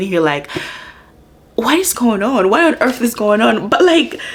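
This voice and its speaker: Noticeable background noise fills the recording. A woman speaks over it at a moderate pace. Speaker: book vlogger. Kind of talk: casual vlog chat. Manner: animated.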